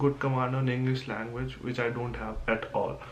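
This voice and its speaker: A man talks in a monotone, flat intonation at a medium pitch and a moderate pace. Audible room echo and noticeable background noise surround him. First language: not English. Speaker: student. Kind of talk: class presentation podcast. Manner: halting.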